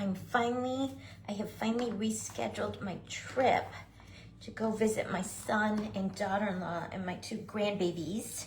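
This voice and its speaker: Her tone animated, a woman speaks fairly high with ordinary pitch variation and audible room echo. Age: 60s. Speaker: craft tutorial host. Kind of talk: live craft tutorial. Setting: livestream. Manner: chatty, animated.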